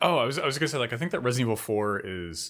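On a very clean recording with a silent background, a man uses a plain, everyday voice, fairly low in pitch, with lively intonation. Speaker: podcast co-host. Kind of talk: casual podcast chat.

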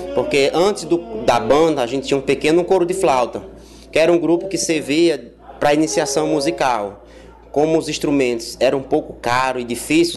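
The man's pitch is fairly high, with ordinary variation. He keeps a moderate pace and very even loudness. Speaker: orchestra conductor. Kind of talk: interview. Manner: hesitant with filler words.

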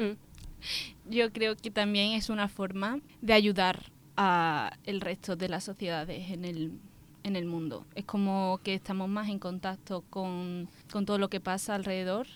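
A woman's unremarkable speaking voice, medium in pitch, fairly slow and fairly even in intonation, on a very clean recording with a silent background. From Andalusia, Spain (Seville area). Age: 20s. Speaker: architecture student on exchange. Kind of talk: casual interview; summary in English.

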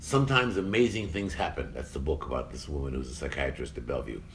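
A man with vocal fry at a fairly quick pace. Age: 60s. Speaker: science communicator and podcast host. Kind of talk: casual intellectual discussion. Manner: halting.

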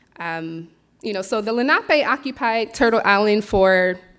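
With an American accent, a woman speaks at a moderate pace and medium pitch in an unremarkable speaking voice. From Philadelphia, US. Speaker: farmer and herbalist. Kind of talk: presentation talk.

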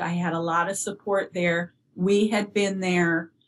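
A woman with an American accent speaks at a fairly slow pace and a medium pitch. Her intonation is monotone and flat. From US Upper Midwest (northern Minnesota). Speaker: bereaved parent and early childhood educator. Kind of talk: interview about grief.

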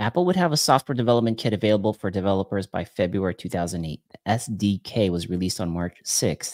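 A man with a fairly low voice and ordinary pitch movement rattles along at a very fast pace, hardly pausing. The sound is dry and close with no echo, on a very clean recording over a silent background. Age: 40s. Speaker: podcaster and YouTuber. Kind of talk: casual chat.

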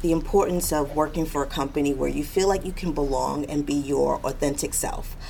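Noticeable background noise behind a woman's fairly quick speech. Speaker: corporate diversity director. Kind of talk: interview answers.

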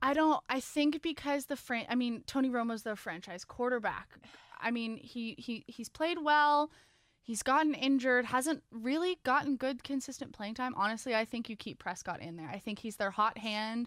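A woman with a high voice speaks at a moderate pace, her pitch varying in the usual way, on a very clean recording with total silence behind her. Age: 20s. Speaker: student sports podcast co-host. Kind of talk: casual chat. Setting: studio.

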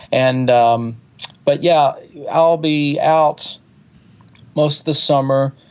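Speaking in a Southern US accent at a very slow pace, the voice leaves long, frequent pauses. Intonation is fairly even and loudness very even. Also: man, fairly high pitch for a man. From US South, Alabama (Birmingham area). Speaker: touring keyboard player and singer-songwriter. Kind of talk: interview conversation. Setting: phone call. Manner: hesitant, many fillers.

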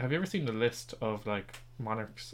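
In an Irish accent, a man talks at a fairly quick pace and a fairly low pitch. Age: 20s. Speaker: podcast host, quiz master. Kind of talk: quiz hosting; casual chat.

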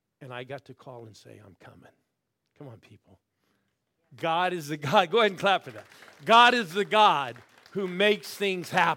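A man with an American accent speaks at a moderate pace and a high pitch, his bright, sharp, animated tone carrying lively intonation, big swings in loudness and long, frequent pauses. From US Midwest, Ohio. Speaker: pastor. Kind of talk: sermon. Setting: church with live audience.

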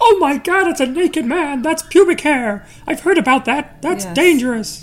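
The speaker uses a put-on character voice set high in pitch. Its pace is moderate. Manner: shocked, cartoonish, exaggerated.

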